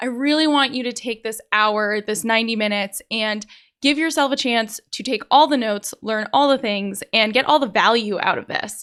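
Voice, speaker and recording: Animated and with hardly any pauses, a woman speaks at a fairly high pitch with ordinary pitch variation. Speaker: online business coach. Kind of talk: webinar training. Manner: fast.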